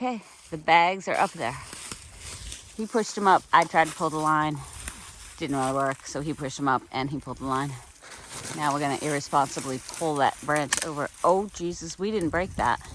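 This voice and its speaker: Long, frequent pauses interrupt speech delivered at a moderate pace, with noticeable background noise throughout. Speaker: hiking vlogger. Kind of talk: casual vlog narration. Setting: outdoors. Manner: loud.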